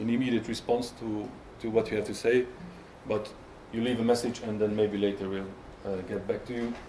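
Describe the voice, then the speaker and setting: Amid audible room echo, a man with a Hungarian accent and a medium pitch talks at a fairly quick pace in a monotone, flat intonation, with long, frequent pauses. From Hungary. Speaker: software tester. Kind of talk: conference talk. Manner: halting, many fillers and repetitions.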